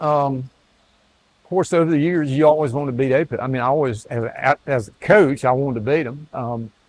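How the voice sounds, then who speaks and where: A man with a North Carolina accent at a fairly quick pace, showing ordinary pitch variation. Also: fairly high pitch for a man. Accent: North Carolina Southern. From US South. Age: 70s. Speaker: retired athletic director. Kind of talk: interview. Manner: halting.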